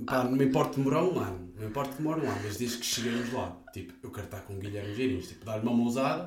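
A man talks at a very fast pace with hardly any pauses and ordinary pitch variation. His loudness swings a lot, over noticeable background noise. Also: medium pitch for a man. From northern Portugal. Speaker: podcast host. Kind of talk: casual chat.

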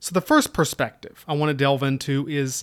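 On a very clean recording with a silent background, a man with an Appalachian accent speaks at a fairly high pitch. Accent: Appalachian Southern US. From US South, Southwest Virginia (Appalachia). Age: 30s. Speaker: military history podcaster, army staff sergeant. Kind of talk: solo podcast introduction. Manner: casual, self-deprecating.

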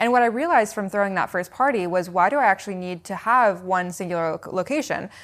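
On a very clean recording with a silent background, a woman with an American accent talks at a very fast pace with hardly any pauses and ordinary pitch variation. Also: medium pitch for a woman. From US West Coast (Seattle, Washington). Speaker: founder of a non-alcoholic drinks business. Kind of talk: interview.

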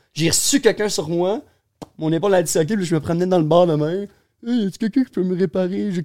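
At a very fast pace, a man talks at a high pitch with a dark, mellow tone. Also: ordinary pitch variation. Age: 20s. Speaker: pro skateboarder. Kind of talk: casual chat.

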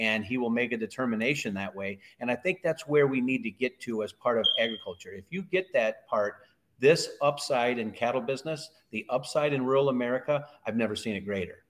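On a very clean recording with a silent background, a man in an unremarkable speaking voice talks at a fairly quick pace, medium in pitch with ordinary pitch variation. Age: 50s. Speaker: cattle consultant. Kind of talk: casual chat.

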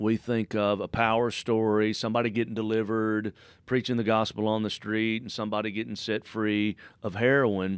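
Fairly quick pace on a very clean recording with a silent background. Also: man, fairly low pitch for a man. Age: 40s. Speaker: evangelist and preacher. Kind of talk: interview with storytelling; prayer. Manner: animated.

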